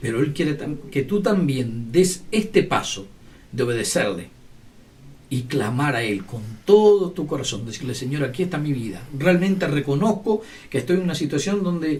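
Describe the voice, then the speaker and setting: Pitched fairly high, a man talks at a moderate pace with very wide pitch swings. Audible room echo surrounds his voice. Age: 60s. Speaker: lay preacher. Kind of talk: sermon.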